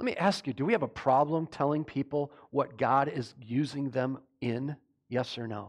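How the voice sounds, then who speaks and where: A man speaks in a normal speaking voice at a moderate pace. His pitch is fairly high, with ordinary variation. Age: 50s. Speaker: pastor. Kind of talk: sermon. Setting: church.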